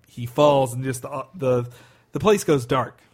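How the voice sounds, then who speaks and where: A man's voice sits at a medium pitch and sounds somewhat breathy. He keeps his intonation fairly even. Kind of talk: casual chat.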